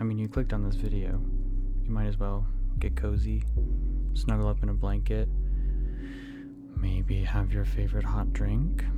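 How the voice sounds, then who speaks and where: A man whispers softly at a fairly slow pace. Music plays in the background. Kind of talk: ASMR book talk. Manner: soft-spoken, whispery.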